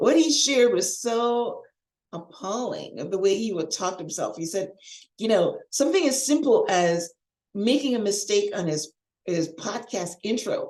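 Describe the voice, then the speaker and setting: Using a plain, everyday voice, a woman speaks at a fairly high pitch with lively intonation and a moderate pace. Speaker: life coach and podcast host. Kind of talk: coaching podcast monologue. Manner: conversational, encouraging.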